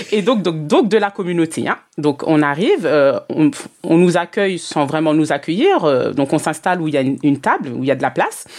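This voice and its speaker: Speaking with lively intonation, a woman has a fairly low pitch. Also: fairly quick pace. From Martinique. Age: 30s. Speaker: customer journey consultant, business mentor. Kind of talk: interview. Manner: hesitant, many fillers.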